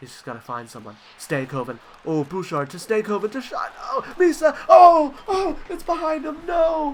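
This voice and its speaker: Over noticeable background noise, the voice shows very wide pitch swings and big swings in loudness. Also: man. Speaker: gaming youtuber. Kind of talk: video game play-by-play commentary. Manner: animated, excitable.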